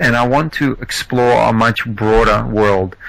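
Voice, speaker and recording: Over noticeable background noise, the speaker has a slight Australian accent and ordinary pitch variation. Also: man. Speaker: entrepreneur, podcast guest. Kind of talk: interview. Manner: halting.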